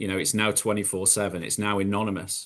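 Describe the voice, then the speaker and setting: Over a quiet background, the speech comes in a British accent with monotone, flat intonation. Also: man. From UK. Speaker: recovered gambler, gambling harm educator. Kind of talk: panel webinar discussion. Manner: halting, many repetitions.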